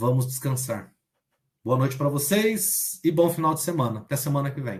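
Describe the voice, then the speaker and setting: A man with a fairly high pitch speaks at a moderate pace, his voice somewhat breathy. His intonation is lively. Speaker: online math teacher. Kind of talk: online lecture.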